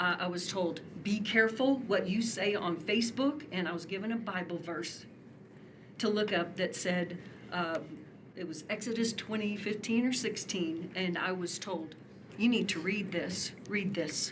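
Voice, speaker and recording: A woman speaks at a fairly slow pace with a medium pitch and ordinary pitch variation, over noticeable background noise with audible room echo. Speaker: public commenter at city meeting. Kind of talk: public comment at city commission meeting. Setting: city commission meeting with large crowd. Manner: emotional, impassioned.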